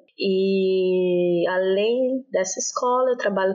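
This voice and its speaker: A woman talks at medium pitch with ordinary pitch variation. Noticeable background noise sits behind her. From Brazil, Brasília. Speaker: language teacher. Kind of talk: casual interview.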